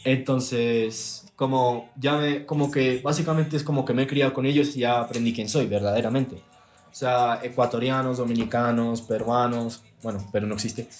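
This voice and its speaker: A medium-pitched man at a moderate pace with hardly any pauses and fairly even intonation, music in the background. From Texas. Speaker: content creator. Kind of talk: casual chat.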